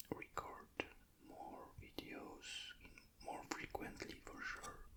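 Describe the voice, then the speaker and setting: The voice is whispering in a calm, relaxed tone. Noticeable background noise is present. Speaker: ASMR creator and miniature painter. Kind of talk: ASMR hobby painting talk to camera. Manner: whispered, calm, relaxed.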